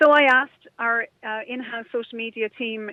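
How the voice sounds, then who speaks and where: Fairly high-pitched woman with a Kerry accent, fairly even intonation and a moderate pace. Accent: Kerry Irish. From Ireland, Kerry (Dingle area). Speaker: radio presenter and online entrepreneur. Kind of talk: interview.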